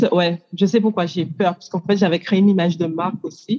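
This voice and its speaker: A woman with an English accent speaks at a moderate pace and medium pitch, her tone dark, mellow and somewhat breathy. Her intonation is fairly even, and the sound is dry and close with no echo. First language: English (speaking French). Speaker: coach, workshop participant. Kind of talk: group coaching exchange.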